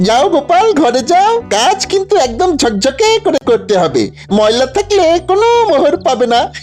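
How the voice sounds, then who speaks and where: A cartoonish character voice pitched high swings very widely in pitch. Clear music runs in the background. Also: moderate pace. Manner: condescending.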